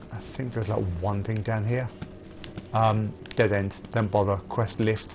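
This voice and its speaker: Against noticeable background noise, a man talks at a fairly slow pace and fairly low pitch. His intonation is monotone and flat. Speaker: gaming video creator. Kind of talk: gameplay commentary tutorial.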